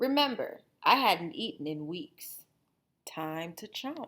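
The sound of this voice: In a very clean recording with a silent background, a woman uses a put-on character voice. Her fairly low voice has a bright, sharp tone, big pitch swings and a slow pace.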